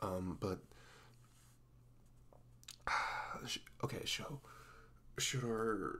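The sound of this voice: A man puts on a character voice, fairly low in pitch, with a bright, sharp tone, ordinary pitch variation and a very slow pace.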